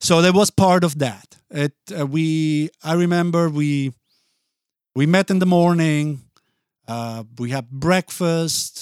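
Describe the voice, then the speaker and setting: A man with an Italian accent at a very slow pace, ordinary pitch variation, dry, close sound with no echo and a very clean recording over a silent background. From Basel, Switzerland. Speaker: music and podcast producer. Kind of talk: casual interview chat. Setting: studio.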